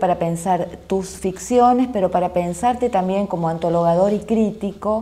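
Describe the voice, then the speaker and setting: A dark, mellow tone comes at a fairly slow pace with ordinary pitch variation. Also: woman. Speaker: literature researcher. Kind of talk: interview question.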